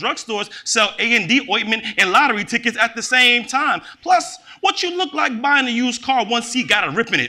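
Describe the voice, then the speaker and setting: A man projects a raised voice at an extremely high pitch, bright and sharp in tone. He moves at a fairly quick pace with lively intonation and hardly any pauses. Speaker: poet. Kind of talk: poetry reading. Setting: stage with audience.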